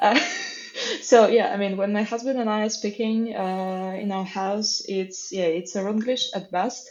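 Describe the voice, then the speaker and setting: Over noticeable background noise, a woman speaks at a fairly slow pace with medium pitch. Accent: Russian. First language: Russian. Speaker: software engineer. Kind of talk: casual chat. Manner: animated.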